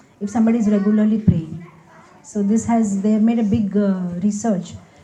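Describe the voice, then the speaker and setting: A woman speaks with an Indian accent at a medium pitch, her intonation monotone and flat. Noticeable background noise runs underneath. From India, Hyderabad. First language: Gujarati. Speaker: spiritual speaker. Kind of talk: Q&A talk.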